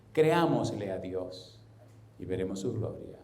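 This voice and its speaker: Noticeable background noise and audible room echo surround a man whose speech is fairly slow. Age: 60s. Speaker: pastor. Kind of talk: sermon.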